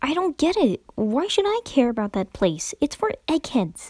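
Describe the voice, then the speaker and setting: Using a put-on character voice, a woman talks at a moderate pace and a high pitch, her pitch swinging very widely, in a dry, close sound with no echo. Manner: impatient, frustrated, then scared.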